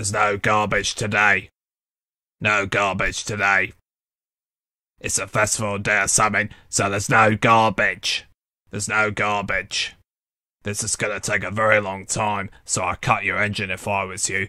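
In a put-on character voice, a man talks in a raspy, fairly low monotone at a moderate pace with long, frequent pauses, on a very clean recording with a silent background. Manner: slow, droning.

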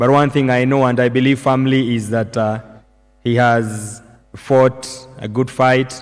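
A man talks in a flat, monotone way. The background is quiet. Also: fairly slow pace. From Kenya. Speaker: government official; speaker. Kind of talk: formal tribute and program emceeing; memorial tribute speech. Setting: church memorial service. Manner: formal, solemn. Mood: solemn, respectful. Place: hall. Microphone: podium.

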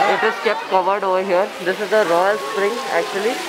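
Moderate pace under loud background noise. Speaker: travel vlogger. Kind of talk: casual vlog narration. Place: garden. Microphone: phone near.

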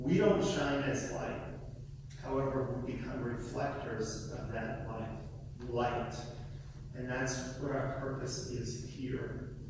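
Amid strong room echo and noticeable background noise, a man speaks at a very slow pace with fairly even intonation and long, frequent pauses. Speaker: guest preacher. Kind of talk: sermon delivered to a congregation. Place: church.

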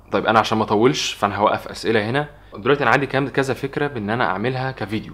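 The man's pitch varies in an ordinary way as he speaks. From Egypt. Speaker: vlogger. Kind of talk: casual Q&A vlog. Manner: fast. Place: home room.

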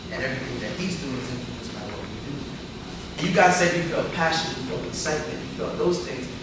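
A man's voice with audible room echo and loud background noise. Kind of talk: lecture. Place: classroom. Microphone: camera far.

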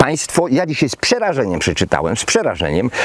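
A man's voice has a dry sound with no echo over light background noise. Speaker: former minister commenting on politics. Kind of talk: video blog commentary. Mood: indignant, worried. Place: garden.

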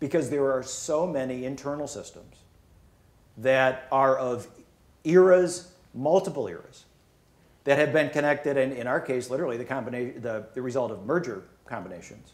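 A man talks at medium pitch and a moderate pace. His pitch varies in an ordinary way.

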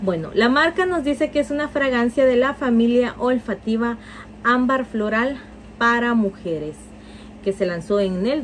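A woman speaks in an animated tone. Light background noise is present. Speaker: perfume reviewer. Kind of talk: product review. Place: home room.

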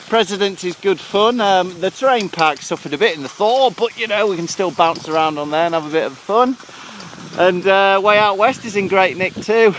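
A man's fairly bright voice, high for a man, at a moderate pace with ordinary pitch variation and faint background noise.

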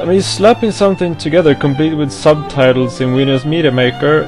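Clear music plays in the background. The speaker has a non-native accent and ordinary pitch variation. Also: man. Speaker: anime music video editor. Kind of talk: angry rant to camera. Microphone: headset.

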